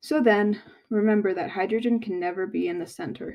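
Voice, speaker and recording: A woman at a medium pitch with lively intonation and a moderate pace. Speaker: chemistry tutor. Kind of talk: tutorial.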